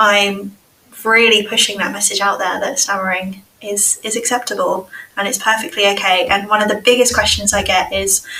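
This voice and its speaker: A woman speaks with an English accent. Her intonation is monotone and flat, at a moderate pace. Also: medium pitch for a woman. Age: 30s. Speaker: speech and language therapist. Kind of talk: casual chat.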